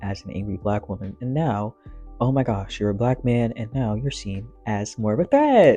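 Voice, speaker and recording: Music plays in the background as a man speaks. His pitch is medium and his pace moderate. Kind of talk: casual talk to camera.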